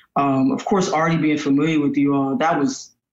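A man with an American accent in a normal speaking voice, fairly high in pitch, lively in intonation, at a moderate pace. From Tallahassee, Florida. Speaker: musician and recording artist. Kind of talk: casual chat.

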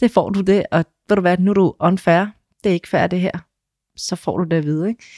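The voice has a dark, mellow tone and fairly even intonation, moving at a fairly quick pace with long, frequent pauses. The sound is dry and close with no echo, on a very clean recording with a silent background. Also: woman, medium pitch for a woman. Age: 40s. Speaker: trainee dental assistant. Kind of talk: interview. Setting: studio.

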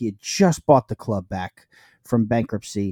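A man with a New York accent and a dark, mellow tone talks at a moderate pace and medium pitch with ordinary pitch variation, in a very clean recording with a silent background and a dry, close sound with no echo. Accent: New York American. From US, New York. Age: 30s. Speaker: football fan podcaster. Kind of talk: casual chat.

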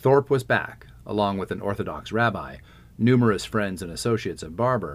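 Here the text is simply read aloud, in a plain manner.

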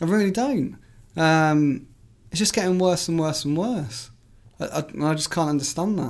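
A man speaks at a moderate pace with a fairly high pitch and ordinary pitch variation. Long, frequent pauses break up his speech in a very clean recording with a silent background. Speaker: football journalist. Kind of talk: casual chat.

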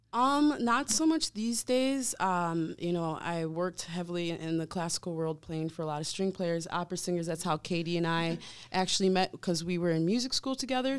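Lively intonation and a moderate pace mark an unremarkable speaking voice with an American accent, on a very clean recording with a silent background. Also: woman. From Wisconsin. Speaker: band member, musician.

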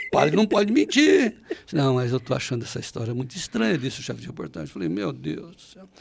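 Very fast speech from a man, loudness rising and falling sharply. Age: 70s. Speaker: agribusiness journalist, founder of news site. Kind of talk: interview conversation.

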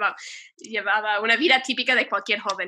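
With a bright, sharp tone, a woman talks at a fairly quick pace in a medium pitch, her intonation fairly even. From US, Ohio. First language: English (speaking Spanish). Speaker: nun. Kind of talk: interview testimony.

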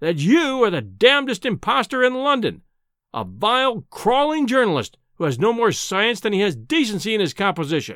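Very wide pitch swings mark this put-on character voice. The tone is fairly bright and the pace moderate. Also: man, high pitch for a man.

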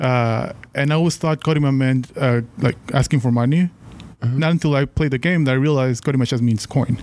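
A man with a Mexican accent talks at a fairly quick pace, his pitch medium. His loudness stays very even and his intonation fairly even. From Mexico. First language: Spanish. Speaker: podcast listener guest. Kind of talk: casual chat.

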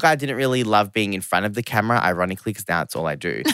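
Speaking in an Australian accent, a man delivers his words at a very fast pace. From Australia, Geelong, Victoria. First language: not English (family background Serbian/Romanian). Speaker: fashion media creative, former magazine staffer. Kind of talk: casual interview chat.

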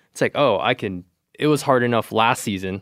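An unremarkable speaking voice belongs to a man with an American accent talking at a moderate pace. The sound is dry and close with no echo, on a very clean recording with a silent background. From California. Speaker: angler. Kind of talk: casual chat.

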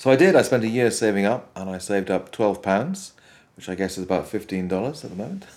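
With a Welsh accent, a man talks at a fairly quick pace in a fairly low pitch, his loudness swinging widely. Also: ordinary pitch variation. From Wales. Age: 50s. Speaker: composer. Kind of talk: interview.

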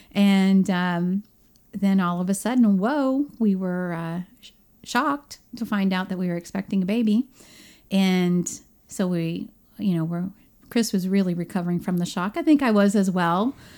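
A normal speaking voice, with ordinary pitch variation, moves along at a moderate pace. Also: woman, medium pitch for a woman. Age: 40s. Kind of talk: casual chat.

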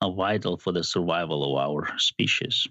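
Here a man speaks with a Georgian accent. His pace is moderate, with ordinary pitch variation. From Georgia (country). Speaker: biomedical sciences professor. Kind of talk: interview.

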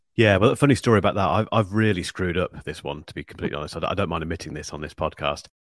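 A man with a Northamptonshire accent speaks in a very deep, low voice with ordinary pitch variation, talking at a very fast pace with hardly any pauses. The recording is very clean, with a silent background. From England, Northampton. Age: 40s. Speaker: YouTube tech reviewer. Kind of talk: interview.

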